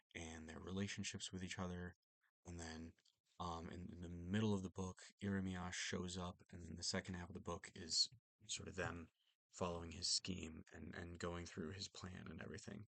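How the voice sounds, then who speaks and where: A soft-spoken man with a very deep, low pitch at a moderate pace, monotone and flat in intonation, in a dry, close sound with no echo. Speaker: book reviewer. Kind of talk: casual book review monologue. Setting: at home late at night. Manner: soft-spoken, talking quietly; hesitant, many fillers.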